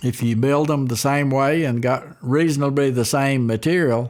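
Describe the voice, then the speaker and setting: A man with an Appalachian accent speaks at a fairly slow pace. His pitch is medium, with ordinary variation. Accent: Appalachian Southern US. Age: 70s. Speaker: guitar builder. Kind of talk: interview. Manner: halting.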